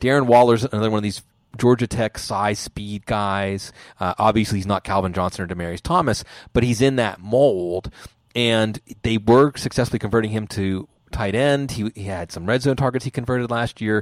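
At a moderate pace, a man with an unremarkable speaking voice talks at a fairly low pitch with ordinary pitch variation, in a very clean recording with a silent background and a dry, close sound with no echo. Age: 40s. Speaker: fantasy football analyst. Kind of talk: casual chat. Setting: podcast recording.

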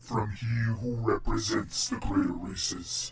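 A man puts on a character voice at a medium pitch. He speaks very slowly in a weary tone. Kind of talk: epic fantasy god voice. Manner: grave, imposing, weary.

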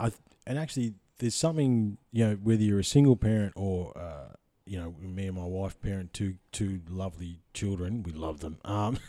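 A dark, mellow tone with ordinary pitch variation, delivered at a moderate pace in an Australian accent. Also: man, fairly low pitch for a man. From central Victoria, Australia. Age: 30s. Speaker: podcast host. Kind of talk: casual interview chat. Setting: in-person, guest's house.

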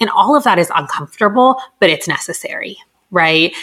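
A woman speaks in a Californian accent. Her pace is moderate. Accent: Californian American English. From Southern California (Los Angeles). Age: 30s. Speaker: clinical psychologist. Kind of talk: interview, casual advice chat.

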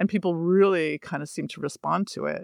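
An unremarkable speaking voice from a woman with a Canadian accent, fairly low in pitch with ordinary pitch variation, on a very clean recording with a silent background and a dry, close sound with no echo. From Canada, Toronto. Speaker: author and painter. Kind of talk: interview.

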